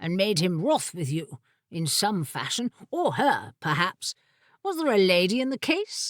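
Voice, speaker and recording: In a put-on character voice at medium pitch, a woman makes very wide pitch swings on a very clean recording with a silent background. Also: moderate pace. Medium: read story. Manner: wry, archaic phrasing.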